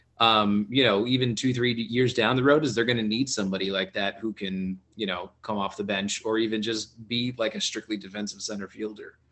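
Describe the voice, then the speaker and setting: Here is a man with an ordinary speaking voice and an American accent, pitched fairly low. He talks at a fairly quick pace with fairly even intonation and hardly any pauses. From South Florida. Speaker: podcast panelist. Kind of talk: casual chat.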